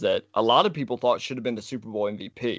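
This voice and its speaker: Speaking very fast, a man uses a medium pitch and lively intonation. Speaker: podcast co-host, football fan. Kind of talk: casual chat. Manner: animated.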